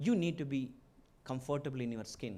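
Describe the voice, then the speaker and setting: The speaker has a strong Keralan accent. The pitch varies in an ordinary way. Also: man. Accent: strong Malayali (Indian). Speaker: business executive and entrepreneur, chief guest speaker. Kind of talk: inaugural speech. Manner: halting, with fillers.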